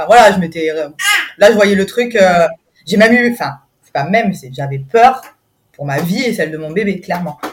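A woman speaks at a moderate pace with lively intonation and big swings in loudness, leaving long, frequent pauses. Music plays in the background. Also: medium pitch for a woman. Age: 30s. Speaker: mother sharing birth story. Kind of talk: testimony. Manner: hesitant, many fillers.

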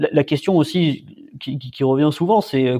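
Over a quiet background, a man with a dark, mellow tone speaks at a fairly high pitch with ordinary pitch variation. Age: 20s. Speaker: tech startup founder. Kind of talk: interview. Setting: remote call.

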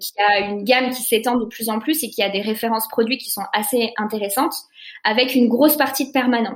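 A woman with an unremarkable speaking voice, fairly high pitch, fairly even intonation, a fairly quick pace and big swings in loudness. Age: 20s. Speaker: eco-fashion concept store co-founder. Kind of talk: interview.

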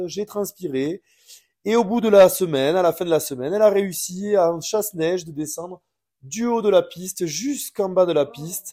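Lively intonation runs through fairly slow speech on a very clean recording with a silent background. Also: man. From France, from a city. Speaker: ski instructor. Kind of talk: casual interview.

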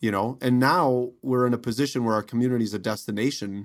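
With an American accent, a man speaks at a moderate pace in an unremarkable speaking voice of medium pitch, captured on a very clean recording with a silent background. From Wisconsin. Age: 50s. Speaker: mayor and educator. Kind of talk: interview conversation.

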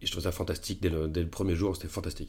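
A very deep, low-pitched man's voice, somewhat breathy, with fairly even intonation. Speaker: film actor. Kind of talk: casual interview. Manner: fast.

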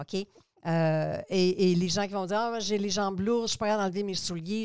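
A woman with an unremarkable speaking voice talks at a moderate pace and medium pitch, keeping her intonation fairly even. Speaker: cosmetics entrepreneur and school founder. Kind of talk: interview.

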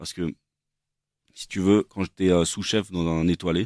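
A man's very deep, low voice at a fairly slow pace, fairly even in intonation, dry and close with no echo, on a very clean recording with a silent background. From France, Versailles. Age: 30s. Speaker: chef. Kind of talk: casual chat.

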